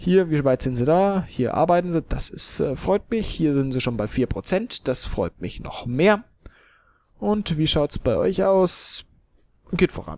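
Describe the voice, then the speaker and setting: A high-pitched male voice in a dry, close sound with no echo. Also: fairly slow pace. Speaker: let's play gamer. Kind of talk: gameplay commentary. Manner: casual, hesitant with fillers.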